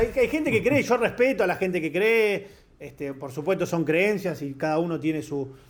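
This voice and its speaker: A man's high-pitched voice in a Rioplatense accent, very wide pitch swings, moderate pace. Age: 30s. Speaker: sports journalist. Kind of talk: casual chat.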